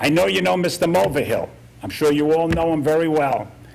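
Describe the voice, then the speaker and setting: Audible room echo surrounds a man speaking at a moderate pace, with a fairly high pitch and ordinary pitch variation. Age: 70s. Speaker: military veteran speaking at public comment. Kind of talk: public comment at town council meeting. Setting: council meeting room. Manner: halting.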